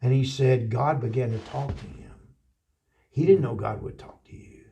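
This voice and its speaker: A man with an American accent and a medium pitch speaks at a moderate pace in a dark, mellow tone with vocal fry, ordinary pitch variation and big swings in loudness. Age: 60s. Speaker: pastor. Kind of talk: interview storytelling. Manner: animated; halting.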